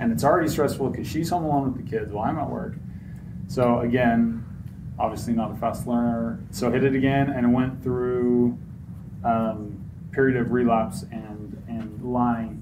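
A man with an American accent speaks at a moderate pace and medium pitch, his intonation fairly even, with audible room echo and noticeable background noise. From Utah. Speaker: recovering addict sharing story. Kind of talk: testimony. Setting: stage with audience.

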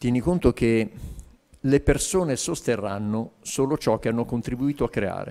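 Against a quiet background, a man with a medium-pitched, dark, mellow voice talks at a moderate pace with ordinary pitch variation. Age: 50s. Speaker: business coach. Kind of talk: interview. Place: studio. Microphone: handheld.

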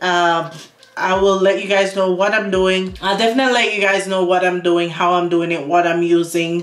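At a moderate pace, a woman talks in a fairly low pitch with monotone, flat intonation. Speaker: lifestyle vlogger. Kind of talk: casual vlog chat. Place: bathroom. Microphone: phone near.

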